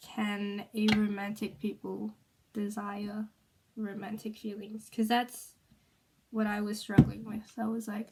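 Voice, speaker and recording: Somewhat breathy and monotone, a woman speaks at a fairly high pitch and a fairly slow pace. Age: 20s. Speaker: vlogger. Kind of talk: personal vlog. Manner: hesitant, many fillers.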